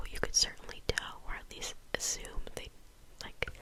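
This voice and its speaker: A woman whispers over noticeable background noise. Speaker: ASMR content creator. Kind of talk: ASMR whispered movie review. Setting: home recording with some background noise. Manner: whispered, soft-spoken.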